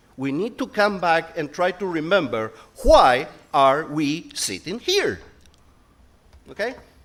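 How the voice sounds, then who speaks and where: A man with a Spanish accent at a very slow pace. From Spain. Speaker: conference speaker, company director. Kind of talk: conference talk.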